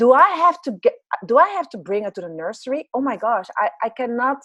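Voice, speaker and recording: Lively intonation marks this woman's speech, delivered with a Dutch accent at a moderate pace. The sound is dry and close with no echo. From Netherlands. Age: 40s. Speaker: business and life coach. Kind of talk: interview.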